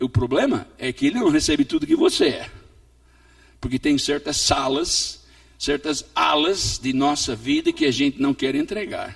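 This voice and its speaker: Delivery is fairly slow. Pitch moves in very wide swings. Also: man. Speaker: pastor and missionary. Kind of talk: sermon. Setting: church.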